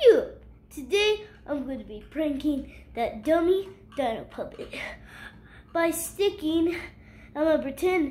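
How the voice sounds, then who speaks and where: A cartoonish character voice speaks at a high pitch. The pace is fairly slow. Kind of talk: playful puppet skit. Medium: puppet show. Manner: smug, mischievous.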